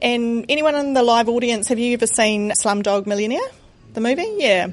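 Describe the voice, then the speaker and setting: Speaking at a fairly quick pace, a woman has a slight New Zealand accent. Her pitch is fairly high, with ordinary variation. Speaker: charity founder, former executive. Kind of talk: live interview. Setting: stage with live audience.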